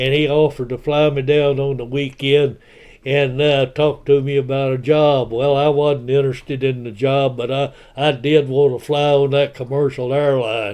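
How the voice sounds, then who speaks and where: In a West Texas accent, a man speaks at a moderate pace with a fairly high pitch and flat, monotone intonation. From Texas, Lubbock area. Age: 90s. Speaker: retired broadcaster and YouTuber. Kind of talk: personal life story monologue. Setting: self-recorded home video. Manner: halting, many filler words.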